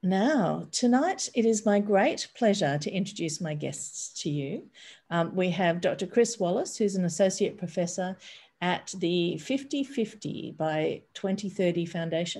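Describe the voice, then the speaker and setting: Speaking in an Australian accent, a woman sounds somewhat breathy, with a dark, mellow tone. Her pace is fairly slow, and her intonation is lively. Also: medium pitch for a woman. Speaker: bookshop event host. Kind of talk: event introduction. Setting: video call. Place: home room. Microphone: webcam.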